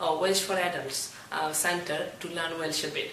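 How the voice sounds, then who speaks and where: A speaker with a Bengali accent talks at a moderate pace over noticeable background noise. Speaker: student researcher. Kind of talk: interview.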